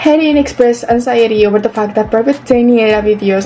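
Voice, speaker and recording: With a non-native accent, the speaker talks at a very fast pace against noticeable background noise. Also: woman. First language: not English. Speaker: YouTuber commentator. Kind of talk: commentary video narration.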